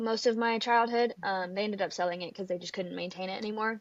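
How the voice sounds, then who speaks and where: With a Texas accent, a woman speaks at a fairly high pitch with ordinary pitch variation. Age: 20s. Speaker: country singer and college student. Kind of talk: casual interview. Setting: video call.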